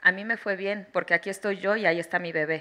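A bright, sharp voice with a Mexican accent, fairly quick and fairly even in intonation, against a quiet background. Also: woman. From Mexico. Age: 30s. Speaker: mother giving testimony on obstetric violence; witness. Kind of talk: testimony. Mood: serious, emotional. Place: hall. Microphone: handheld.

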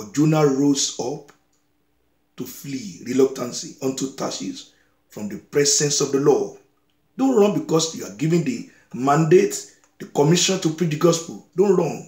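Big swings in loudness and audible room echo against a quiet background. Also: man, moderate pace. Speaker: preacher. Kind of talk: sermon. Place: home room. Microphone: phone near.

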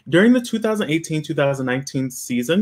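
The intonation here is lively. A man speaks against a quiet background. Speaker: web series host. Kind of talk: casual chat. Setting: video call. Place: home room.

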